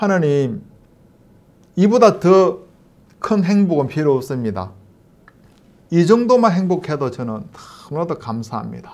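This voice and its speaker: A man with a high pitch speaks at a fairly slow pace, his pitch swinging very widely between long, frequent pauses. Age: 50s. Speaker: missionary; pastor. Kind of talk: testimony. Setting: online church meeting. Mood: earnest, warm. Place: home room.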